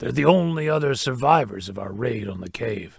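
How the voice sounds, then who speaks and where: In a cartoonish character voice, a man talks at a moderate pace with a raspy sound. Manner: gruff, dry.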